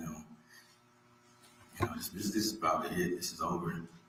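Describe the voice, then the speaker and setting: Audible room echo around a man talking fairly quickly. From Jamaica (St Catherine). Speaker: defendant testifying at trial. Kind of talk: courtroom testimony. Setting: courtroom. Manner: halting, many fillers.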